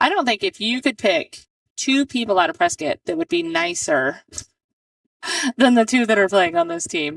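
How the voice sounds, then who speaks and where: A loud woman's voice, fairly high in pitch with very wide pitch swings, at a moderate pace with long, frequent pauses, in a dry, close sound with no echo. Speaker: pool match commentator. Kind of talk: live commentary. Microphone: poor mic, hard to hear, switched headsets.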